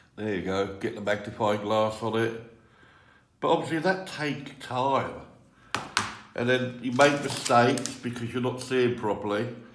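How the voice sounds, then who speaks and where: Pausing long and often, a man speaks at a moderate pace with medium pitch and ordinary pitch variation, amid noticeable background noise and audible room echo. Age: 60s. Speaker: Lego hobbyist video creator. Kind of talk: tutorial. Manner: halting.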